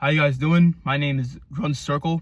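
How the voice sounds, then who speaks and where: Here a man speaks in a somewhat breathy voice with a fairly high pitch. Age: 20s. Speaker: music reviewer on YouTube. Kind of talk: casual album review monologue. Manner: fast; stammering.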